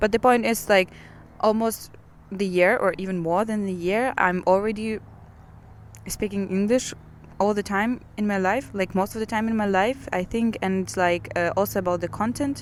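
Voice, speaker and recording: Medium pitch for a woman, with a Ukrainian accent, a moderate pace, and fairly even intonation. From Ukraine. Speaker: podcaster. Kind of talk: personal monologue. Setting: outdoors in a park. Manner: halting, with many fillers and repetitions.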